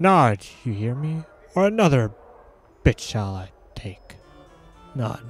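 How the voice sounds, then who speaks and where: Using a put-on character voice at a medium pitch, a man speaks at a fairly slow pace with long, frequent pauses while music plays in the background. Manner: hissing, menacing.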